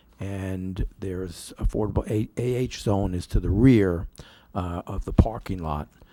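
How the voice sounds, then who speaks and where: In a very clean recording with a silent background, a soft-spoken man with a dark, mellow tone speaks very slowly and with fairly even intonation. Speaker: attorney for an applicant. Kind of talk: public hearing presentation. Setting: planning board meeting with microphone. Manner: soft, quiet; formal.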